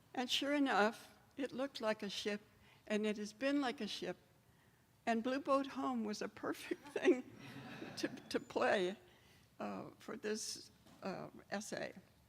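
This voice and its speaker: A woman speaks in a high voice with ordinary pitch variation. She goes at a fairly slow pace and leaves long, frequent pauses. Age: 90s. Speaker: church member giving pledge testimony. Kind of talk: testimony. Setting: church.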